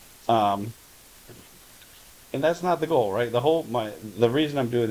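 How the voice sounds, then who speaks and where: Noticeable background noise sits behind a man's speech. He talks at a fairly quick pace with lively intonation. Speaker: YouTuber and real estate investor. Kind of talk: casual vlog monologue. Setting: at home on the couch. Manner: halting, many filler words.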